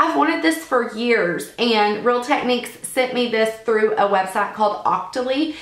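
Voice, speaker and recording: A woman speaks at a moderate pace. Noticeable noise sits in the background. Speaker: beauty vlogger. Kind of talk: casual talk to camera.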